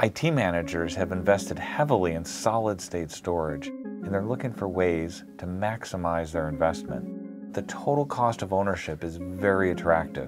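A man talks with a very deep, low pitch and hardly any pauses. Clear music plays in the background. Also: moderate pace. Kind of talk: corporate explainer to camera. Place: office. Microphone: lapel.

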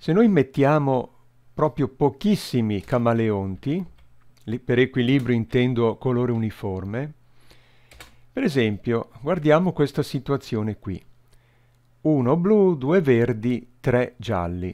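A man's dark, mellow tone, very slow and full of long, frequent pauses, with lively intonation against a quiet background. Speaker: YouTuber explaining recreational math. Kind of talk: video tutorial with live simulation. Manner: hesitant, thinking aloud. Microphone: headset.

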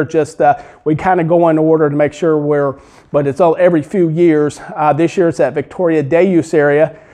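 A man with a dark, mellow tone talks at a moderate pace. His intonation is fairly even, and the background is quiet. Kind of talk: interview answer. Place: hall.

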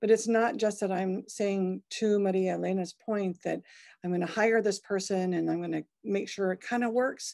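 A woman's dark, mellow voice at a moderate pace, fairly even in intonation, against a quiet background. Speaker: museum director; panelist. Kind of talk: panel discussion. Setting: video call. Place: home room. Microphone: video call.

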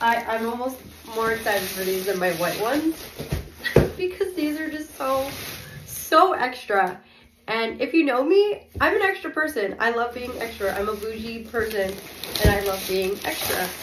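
Her fairly high voice swings very widely in pitch as this woman speaks at a moderate pace. Audible room echo and noticeable background noise surround her. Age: 20s. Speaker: vlogger. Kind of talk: unboxing video. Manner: hesitant, many fillers.

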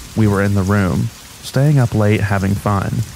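Moderately paced speech from a man with a fairly low voice, over noticeable background noise. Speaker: narrator of reddit horror stories. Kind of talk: scripted narration, reading aloud true scary stories as a sleep aid. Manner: steady, low-key, matter-of-fact narration of disturbing events.

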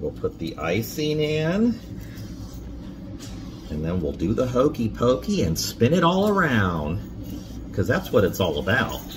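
At a fairly slow pace, a man talks with long, frequent pauses amid noticeable background noise. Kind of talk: casual home cooking chat with a child. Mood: warm, playful. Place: kitchen. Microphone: phone near.

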